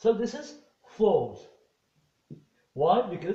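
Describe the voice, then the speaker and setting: A man with a dark, mellow tone is heard with audible room echo against a quiet background. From Morocco. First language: Moroccan Arabic. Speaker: English teacher. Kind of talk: lecture. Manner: halting. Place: home room. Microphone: camera far.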